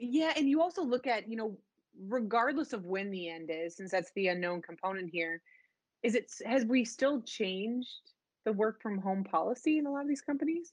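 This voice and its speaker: An unremarkable speaking voice moves at a moderate pace. Its intonation is lively. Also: woman. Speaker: solution engineer. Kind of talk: professional interview. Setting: video call.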